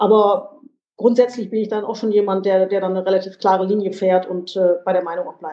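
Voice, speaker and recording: Fairly quick, monotone speech from a woman at medium pitch, flat in intonation. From western Germany, Lower Rhine. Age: 50s. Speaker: politician. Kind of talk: interview. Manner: halting, many fillers.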